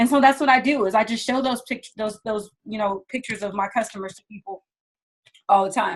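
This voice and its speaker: This woman's somewhat breathy voice sits fairly high and moves at a fairly quick pace. Her intonation stays fairly even while her loudness swings widely. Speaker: direct sales trainer. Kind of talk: product training. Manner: fast.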